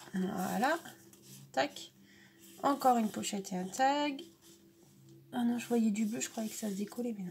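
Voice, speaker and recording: A woman's fairly high voice with lively intonation and big swings in loudness, at a moderate pace with long, frequent pauses, over light background noise. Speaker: scrapbooking vlogger. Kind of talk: casual unboxing vlog. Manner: hesitant, many fillers. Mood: warm, grateful. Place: home room. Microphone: phone near.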